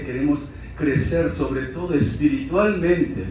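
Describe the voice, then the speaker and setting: Noticeable background noise and audible room echo, with a man speaking at a fairly slow pace. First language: Korean (speaking Spanish). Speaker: preacher. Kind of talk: sermon. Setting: church. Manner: halting.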